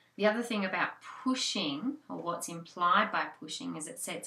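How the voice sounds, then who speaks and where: A woman with an Australian accent talks at a moderate pace against noticeable background noise. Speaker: hypnobirthing childbirth educator. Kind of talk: instructional tutorial.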